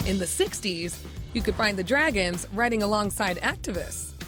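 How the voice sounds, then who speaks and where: Music plays in the background as the speaker proceeds at a moderate pace. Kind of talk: TV news feature narration.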